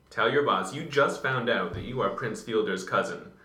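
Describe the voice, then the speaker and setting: With noticeable background noise behind him, a man keeps to a moderate pace. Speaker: baseball podcast co-host. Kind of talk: casual chat. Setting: library study room. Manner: hushed.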